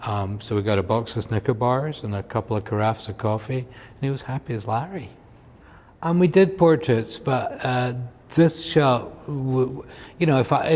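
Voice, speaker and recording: A somewhat breathy man talks with lively intonation. His pace is moderate. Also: medium pitch for a man. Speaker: photographer. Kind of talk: casual chat. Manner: halting.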